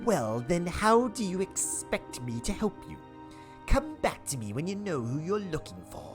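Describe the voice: A man performs a put-on character voice with clear music playing in the background. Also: moderate pace.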